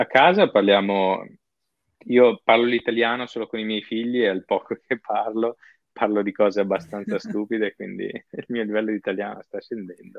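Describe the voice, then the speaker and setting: An unremarkable speaking voice from a man, medium in pitch, at a moderate pace with ordinary pitch variation. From northern Italy, Padova. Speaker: software worker living abroad. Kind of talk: interview.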